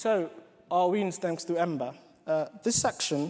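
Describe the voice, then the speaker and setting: Speaking with a British accent, a man uses a high pitch and ordinary pitch variation. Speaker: software developer and coding bootcamp organiser. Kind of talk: conference talk.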